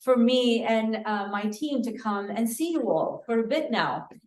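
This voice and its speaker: A woman with a fairly high-pitched voice is heard with audible room echo around her. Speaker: city budget director. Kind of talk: public presentation. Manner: loud.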